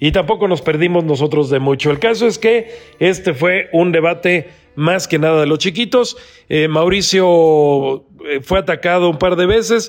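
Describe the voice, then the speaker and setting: A man speaks with a high pitch. His pace is fairly slow. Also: ordinary pitch variation. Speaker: political podcast host. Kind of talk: political commentary and interview.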